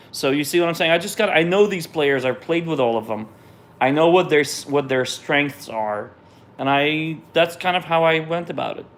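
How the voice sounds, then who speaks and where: With a Russian accent, a man talks at a fairly high pitch with ordinary pitch variation. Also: moderate pace. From Israel. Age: 30s. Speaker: jazz pianist. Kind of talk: live stream Q&A. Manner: casual, hesitant with repetitions.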